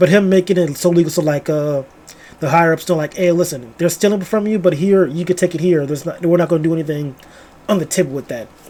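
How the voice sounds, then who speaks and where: A man's high-pitched voice, dark and mellow in tone, at a very fast pace with ordinary pitch variation. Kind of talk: casual book review talk to camera. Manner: casual, rambling.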